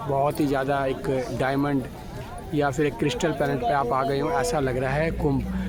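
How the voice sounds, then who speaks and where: Crowd noise sits in the background and the room echo is audible as a man speaks at a fairly high pitch. His intonation is fairly even and his loudness very even. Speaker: vlogger. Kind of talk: live walkthrough vlog. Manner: halting.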